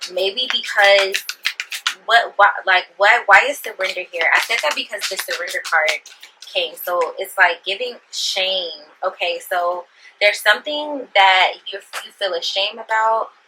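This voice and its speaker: Fairly slow female speech under noticeable background noise. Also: medium pitch for a woman, ordinary pitch variation. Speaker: tarot reader. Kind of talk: tarot reading to camera. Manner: halting, stumbling over words.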